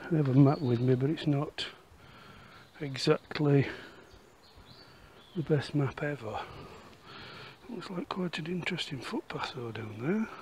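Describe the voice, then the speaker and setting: Lively intonation carries this man's fairly high voice through big swings in loudness and long, frequent pauses, over noticeable background noise. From Yorkshire, northern England. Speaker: walking and history vlogger. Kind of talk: casual walk-and-talk vlog narration; voiceover narration. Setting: outdoors.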